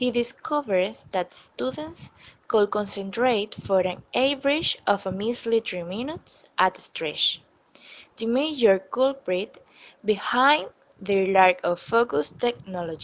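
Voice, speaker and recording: With a non-native accent, the speaker talks at a fairly slow pace with lively intonation. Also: woman, medium pitch for a woman. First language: not English. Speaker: EFL student. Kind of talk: scripted class presentation reading.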